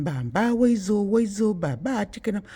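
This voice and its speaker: Putting on a character voice with a Spanish-free, high-pitched mumble, a man talks at a fairly slow pace. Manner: mumbling, heavily pronounced.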